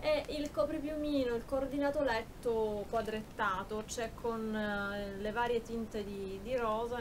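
Noticeable background noise accompanies a woman whose voice sits fairly high. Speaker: YouTube beauty and shopping vlogger. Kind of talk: haul video, casual talk to camera. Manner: animated, chatty with fillers. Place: home room. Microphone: phone near.

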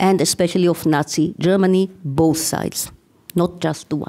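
A woman speaks with an Israeli accent. Her pace is moderate. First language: Hebrew. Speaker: university professor, conference speaker. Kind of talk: academic lecture.

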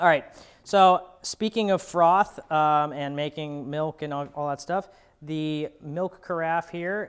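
A man at a fairly slow pace against a quiet background. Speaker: product reviewer. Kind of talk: product review commentary. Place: office. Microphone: lapel.

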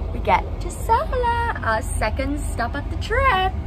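There is noticeable noise behind a woman as she talks. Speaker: travel vlogger. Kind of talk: casual vlog chat. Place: train. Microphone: phone near.

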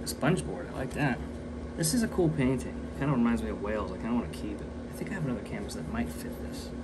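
Very fast speech over loud background noise. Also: man. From US, Welsh heritage. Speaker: artist and video creator. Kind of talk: casual vlog narration while working. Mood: relaxed, joking. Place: workshop. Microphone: phone near.

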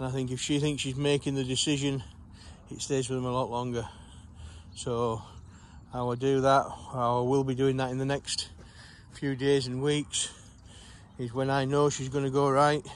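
Light background noise sits behind a man speaking at a moderate pace with monotone, flat intonation, the sound dry with no echo. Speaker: sheepdog trainer. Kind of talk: explanatory commentary while working. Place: farm. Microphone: phone near.

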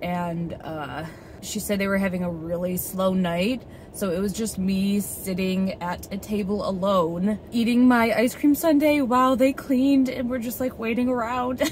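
A woman's lively, moderately paced speech, dry with no echo, over light background noise. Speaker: travel vlogger. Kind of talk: casual vlog chat. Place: car. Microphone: phone near.

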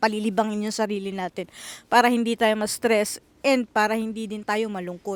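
This woman has a plain, everyday voice at a fairly high pitch, speaking at a moderate pace with fairly even intonation. The sound is dry and close, with no echo. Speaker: vlogger and housekeeper in Japan. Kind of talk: casual vlog monologue.

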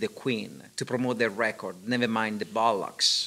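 With a non-native accent, a man speaks in a bright, sharp tone. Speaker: interviewer. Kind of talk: reading aloud; interview. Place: hall. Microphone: studio mic.

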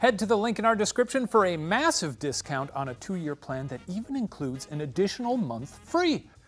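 Faint background music plays as a man's words come at a fairly quick pace. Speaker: show host. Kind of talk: sponsor read. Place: studio. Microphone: lapel.

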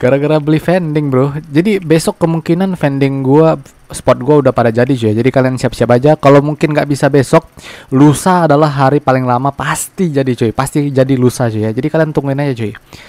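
In a fairly high voice with ordinary pitch variation, a man talks at a very fast pace. The sound is dry and close, with no echo. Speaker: gaming youtuber. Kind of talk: game tutorial commentary. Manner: loud.

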